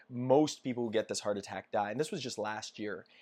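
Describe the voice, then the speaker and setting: Recorded very cleanly against a silent background, a man speaks with a western Canadian accent. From Canada, Edmonton. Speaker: outdoor gear YouTuber. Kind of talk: casual chat.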